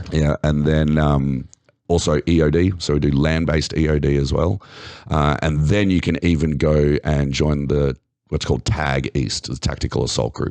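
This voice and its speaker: In an Australian accent, a man with a very deep, low pitch speaks at a moderate pace with very even loudness and fairly even intonation, the sound dry and close with no echo. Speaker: navy veteran and public speaker. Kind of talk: podcast interview answer.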